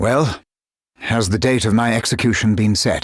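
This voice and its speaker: Over a silent background in a very clean recording, a man puts on a raspy character voice at medium pitch, talking at a moderate pace with fairly even intonation. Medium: video game. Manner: dignified, formal.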